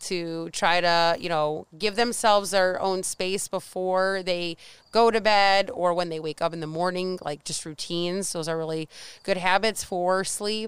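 In a very clean recording with a silent background, a woman with an unremarkable speaking voice talks at a medium pitch and a fairly slow pace. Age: 30s. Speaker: weight loss coach. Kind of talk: casual chat. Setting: outdoors.

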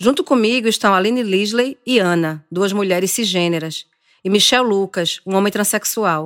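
A woman with an ordinary speaking voice talks at a moderate pace and medium pitch, with ordinary pitch variation and very even loudness, in a dry, close, very clean recording with a silent background. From Brazilian Northeast. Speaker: journalist and podcast host. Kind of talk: scripted narration.

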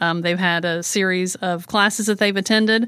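A woman's medium-pitched voice, an ordinary speaking voice with ordinary pitch variation, on a very clean recording with a silent background. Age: 50s. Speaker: home care agency owner and author. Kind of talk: interview.

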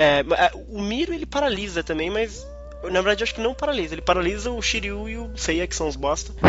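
Noticeable background noise accompanies speech that races along at a very fast pace. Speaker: podcast host. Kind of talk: casual chat. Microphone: audio problem in his recording.

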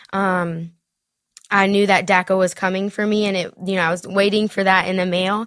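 With a Southern US accent, the speaker talks in a monotone, flat intonation against a quiet background. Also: woman. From South Carolina. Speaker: DACA recipient, dreamer advocate. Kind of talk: interview telling personal story.

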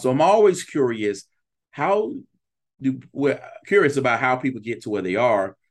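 The pitch swings in big arcs. The pace is fairly slow. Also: man.

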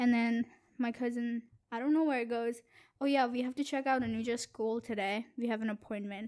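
A woman speaks quietly in a fairly high voice with a monotone, flat intonation. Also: fairly quick pace, very clean recording, silent background. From India. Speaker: student guest, host's girlfriend. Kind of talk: casual chat.

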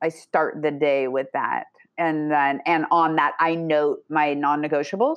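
At a fairly slow pace, a woman with a very deep, low pitch speaks with fairly even intonation and very even loudness. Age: 40s. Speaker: life coach. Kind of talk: casual chat.

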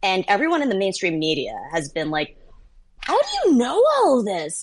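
A woman talks at a moderate pace. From US, child of Vietnamese refugees. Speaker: political journalist and author. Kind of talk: interview.

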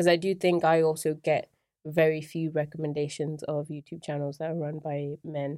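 A woman speaks at a very deep, low pitch and a moderate pace, her tone dark and mellow and her intonation monotone and flat. The recording is very clean, with a silent background. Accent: English. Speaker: YouTuber. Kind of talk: casual chat.

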